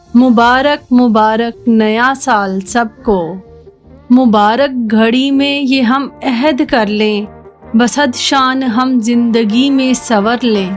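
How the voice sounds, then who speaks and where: A woman's high pitch over music in the background, with fairly even intonation and very even loudness. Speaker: voice-over artist. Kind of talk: poetry reading.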